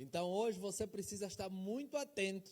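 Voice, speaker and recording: A high-pitched male voice at a moderate pace. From Angola, Luanda (Cazenga). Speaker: pastor. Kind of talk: sermon. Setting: church.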